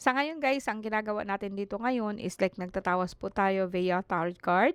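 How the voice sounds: Her tone clear and smooth, a woman speaks at a moderate pace with a medium pitch. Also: fairly even intonation.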